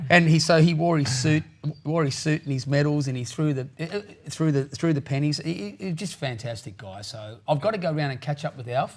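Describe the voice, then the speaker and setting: A man's fairly high, somewhat breathy voice with big swings in loudness. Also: ordinary pitch variation, very clean recording, silent background. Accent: Australian. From Australia, New South Wales south coast. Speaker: country singer-songwriter. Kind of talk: interview.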